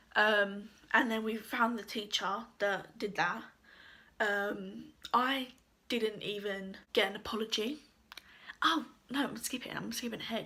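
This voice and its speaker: A woman with vocal fry speaks at a fairly slow pace, leaving long, frequent pauses. Her fairly high voice has a bright, sharp tone and fairly even intonation. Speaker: YouTuber telling a personal story. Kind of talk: storytime monologue. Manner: casual, filler-heavy.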